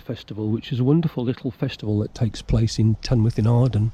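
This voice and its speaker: At a fairly quick pace, a man talks in a medium pitch with a somewhat breathy sound. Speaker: outdoors vlogger. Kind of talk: casual vlog narration. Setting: outdoors in woods.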